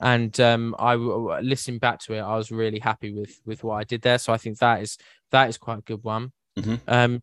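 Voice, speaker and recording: A man with a southern English accent speaks at a fairly quick pace in a medium pitch, his intonation monotone and flat. The sound is dry and close with no echo, over a quiet background. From West Sussex, southern England. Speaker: podcast host and producer. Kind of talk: casual chat.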